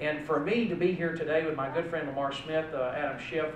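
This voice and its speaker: Amid noticeable background noise and audible room echo, a man talks at a very fast pace with fairly even intonation. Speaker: politician addressing event. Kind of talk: speech. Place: hall. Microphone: podium.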